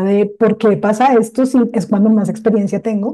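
Her voice is an unremarkable speaking voice, fairly high for a woman, delivered at a moderate pace with fairly even intonation. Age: young. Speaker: industrial designer and social entrepreneur. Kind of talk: interview conversation.

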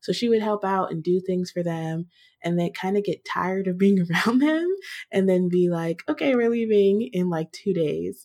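With an American accent, a woman speaks at a medium pitch in an ordinary speaking voice, showing ordinary pitch variation. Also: moderate pace. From US Virginia. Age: 20s. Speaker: podcaster. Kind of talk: casual conversation.

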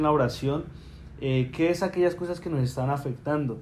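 Room echo is audible as a man talks at a moderate pace. His pitch is fairly high and his intonation fairly even. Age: 20s. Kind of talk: casual faith conversation.

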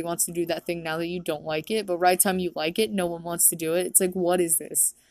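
A woman is speaking. She goes at a very fast pace. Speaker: podcaster and songwriter. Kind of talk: casual solo podcast chat. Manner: casual, laughs often.

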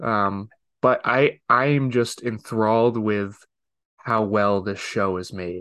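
The voice moves at a very slow pace with fairly even intonation. The background is quiet. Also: man, fairly low pitch for a man. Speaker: podcast co-host. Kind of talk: casual chat.

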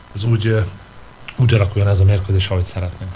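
Very fast and fairly low-pitched, a man's speech comes through noticeable background noise. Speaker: handball coach. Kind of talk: radio interview. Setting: studio.

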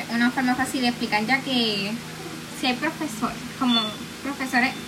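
A woman speaks at a fairly high pitch and a moderate pace, in a monotone, flat delivery. Audible room echo and noticeable background noise are present. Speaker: student. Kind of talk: solo podcast monologue.

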